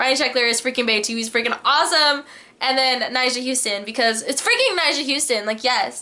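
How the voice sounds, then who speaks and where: Over noticeable background noise, a woman with a high pitch talks at a fairly quick pace in a raised, projected voice, her tone animated. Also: ordinary pitch variation. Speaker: vlogger. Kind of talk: casual chat. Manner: fast.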